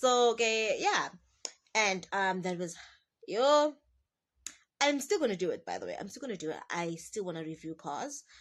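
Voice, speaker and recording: A woman at fairly high pitch and a moderate pace, with very wide pitch swings, big swings in loudness, long, frequent pauses, and a quiet background. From South Africa, Durban. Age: 20s. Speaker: car salesperson and vlogger. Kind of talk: casual talking-head vlog. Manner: rambling.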